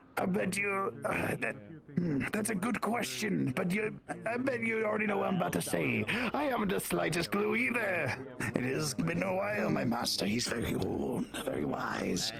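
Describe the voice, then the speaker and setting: A man puts on a character voice at a moderate pace. Loud background noise fills the recording. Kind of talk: auctioneer patter. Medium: actual play. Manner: formal, flowery, slightly pompous.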